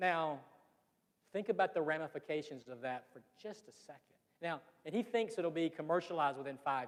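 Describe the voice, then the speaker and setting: A man with a Southern accent talks at a fairly quick pace and fairly high pitch. His intonation is lively, with long, frequent pauses and big swings in loudness. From US South, Georgia (Fitzgerald). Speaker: business association leader, speaker. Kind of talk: public presentation. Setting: room with live audience. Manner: animated.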